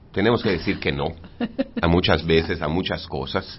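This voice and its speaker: A somewhat breathy man's voice at a moderate pace with lively intonation. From Mérida, Yucatán, Mexico. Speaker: architect and city urban development director. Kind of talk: radio interview. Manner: halting, many repeated words.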